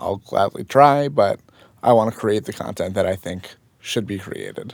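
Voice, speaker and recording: Using a normal speaking voice, a man with an American accent talks at a moderate pace with ordinary pitch variation. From New Jersey (Fort Lee, near New York City). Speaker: freelance photographer. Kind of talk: casual chat. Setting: studio.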